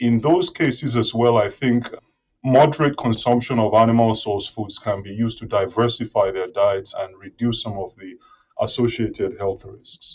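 A man with a medium pitch and a somewhat breathy voice speaks at a moderate pace with ordinary pitch variation. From Nigeria. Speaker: professor and food security researcher. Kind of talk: interview.

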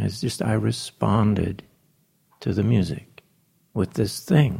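This man speaks at a fairly low pitch. His pitch variation is ordinary. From New Zealand. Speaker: jazz pianist and arranger. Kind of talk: interview conversation. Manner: halting, with many fillers.

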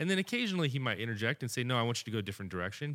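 The speaker is a man with a medium pitch. His pitch swings very widely. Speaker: podcast host. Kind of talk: casual chat. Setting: studio.

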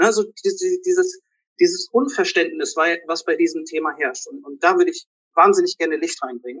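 With an extremely high pitch for a man, he speaks at a fairly slow pace and swings his pitch very widely. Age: 30s. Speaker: physician and fasting coach. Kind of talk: interview. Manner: hesitant with many fillers.

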